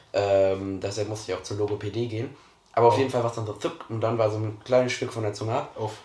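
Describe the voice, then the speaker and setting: A fairly low, dark, mellow male voice, somewhat breathy, at a very fast pace with fairly even intonation. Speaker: podcast co-host. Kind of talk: casual chat.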